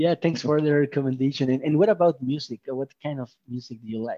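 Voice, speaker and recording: A man with a Mexican accent talks at a fairly quick pace in a fairly high pitch, with a dark, mellow tone, ordinary pitch variation, and a dry, close sound with no echo. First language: Spanish. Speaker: podcast host. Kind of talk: casual interview.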